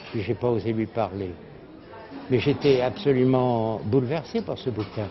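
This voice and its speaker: Noticeable background noise behind a man's fairly slow delivery. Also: medium pitch for a man, ordinary pitch variation. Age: 80s+. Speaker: publisher and literary journalist. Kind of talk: interview answer.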